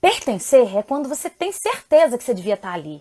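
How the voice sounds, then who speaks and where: The speaker is a woman. Her pitch ranges very widely up and down. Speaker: parenting educator and live host. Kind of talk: live stream talk. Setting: live stream from home. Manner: fast; loud.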